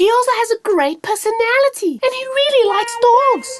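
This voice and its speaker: A squeaky, cartoonish character voice, female-sounding and extremely high in pitch, at a fairly quick pace. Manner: warm, gushing.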